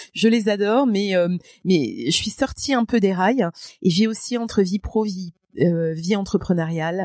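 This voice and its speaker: A woman talks at a moderate pace in an unremarkable speaking voice of medium pitch with ordinary pitch variation. The sound is dry and close with no echo. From France, Moselle. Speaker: public speaker and trainer. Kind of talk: podcast interview.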